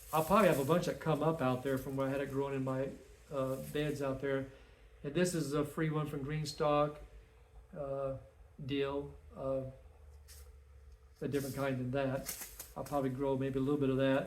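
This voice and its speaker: With audible room echo, a man of fairly high pitch talks in a monotone, flat intonation at a moderate pace, leaving long, frequent pauses. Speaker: home gardener and chicken keeper. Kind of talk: casual video tutorial. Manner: casual, informal.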